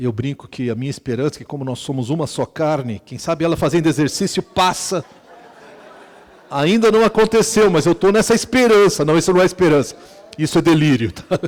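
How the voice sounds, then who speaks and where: This man has an unremarkable speaking voice, pitched fairly high, with lively intonation. He talks at a fairly quick pace. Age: 60s. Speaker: pastor. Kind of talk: sermon. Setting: retreat with audience. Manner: conversational, humorous asides.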